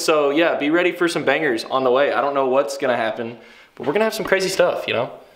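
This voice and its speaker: At a very fast pace, a man with an American accent speaks amid audible room echo. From Kentucky, US South. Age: 20s. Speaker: vlogger. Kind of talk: casual vlog. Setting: on location with handheld camera. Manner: animated.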